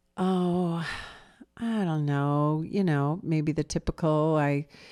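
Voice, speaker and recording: In a very clean recording with a silent background, a woman speaks very slowly in a very deep, low pitch with a dark, mellow tone. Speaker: podcast co-host. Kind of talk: casual conversation. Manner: slow cadence.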